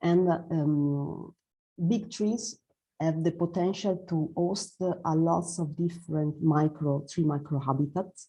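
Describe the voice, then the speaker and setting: A woman with a non-native accent speaks very slowly at a fairly low pitch. Her voice is somewhat breathy, with very even loudness and fairly even intonation. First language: Italian. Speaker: forest ecologist presenter. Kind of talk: presentation. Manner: halting, many fillers.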